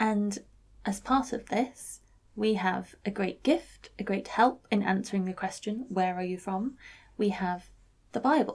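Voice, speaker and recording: A somewhat breathy woman's voice, medium-pitched, at a fairly slow pace with ordinary pitch variation. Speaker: vicar. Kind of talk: vlog-style reflective talk.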